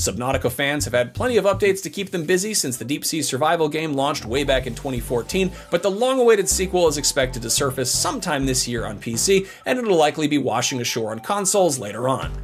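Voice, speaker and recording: With music in the background, a man speaks very fast at a fairly high pitch, with very wide pitch swings and hardly any pauses. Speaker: gaming video host. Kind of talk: scripted narration.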